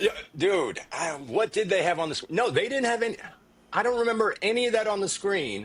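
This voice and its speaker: Animated in tone, a man with a high pitch talks at a fairly quick pace with lively intonation. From South Korea, moved to US around age eight. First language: Korean. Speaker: former music TV presenter. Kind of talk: casual chat.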